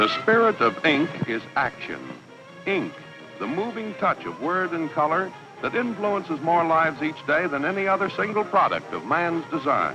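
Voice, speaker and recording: Over music in the background, a man with a high pitch speaks with lively intonation. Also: moderate pace. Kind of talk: corporate documentary narration.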